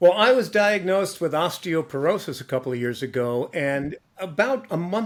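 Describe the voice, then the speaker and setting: The speaker talks at a moderate pace with lively intonation and hardly any pauses. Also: man. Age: old. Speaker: advertising professional turned mediator. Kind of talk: casual chat.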